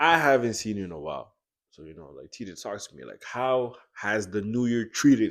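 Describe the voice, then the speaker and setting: With a Congolese accent, a man talks fairly quickly at a medium pitch, his intonation lively and his loudness swinging widely. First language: Lingala. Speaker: student podcast co-host. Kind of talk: casual chat.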